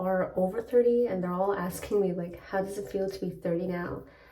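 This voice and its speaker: Whispered at a fairly quick pace, the voice carries audible room echo over noticeable background noise. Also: woman, hardly any pauses, big swings in loudness. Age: 30s. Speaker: lifestyle vlogger. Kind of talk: casual vlog talk. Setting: hotel room. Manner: whispering.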